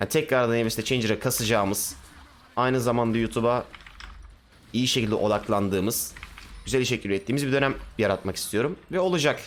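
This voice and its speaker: Over light background noise, a man speaks in an animated tone at a fairly quick pace, with very even loudness, ordinary pitch variation and long, frequent pauses. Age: 20s. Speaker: gaming streamer. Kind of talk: casual chat. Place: home room. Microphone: headset.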